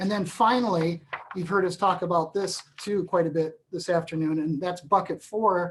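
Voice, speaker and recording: An unremarkable speaking voice: a woman, fairly low-pitched, with fairly even intonation. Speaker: employment lawyer. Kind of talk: webinar presentation. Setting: webinar.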